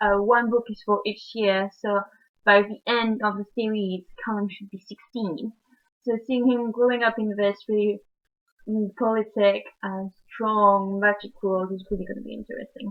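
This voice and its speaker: A woman with a French accent at a moderate pace, fairly high in pitch, with monotone, flat intonation and big swings in loudness. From France. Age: young. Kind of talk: book review talk to camera. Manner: casual, hesitant.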